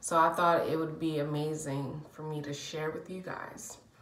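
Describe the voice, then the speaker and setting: Against light background noise and audible room echo, a woman talks at a fairly slow pace. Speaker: vlogger. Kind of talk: casual vlog storytelling. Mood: warm, chatty. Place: bathroom. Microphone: phone near.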